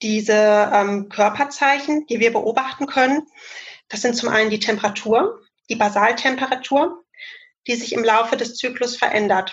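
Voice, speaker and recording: A woman's normal speaking voice, fairly high-pitched, with ordinary pitch variation and a moderate pace. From Germany, Cologne. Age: 30s. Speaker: family planning counsellor and trainee midwife. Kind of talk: expert interview explanation. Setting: video call.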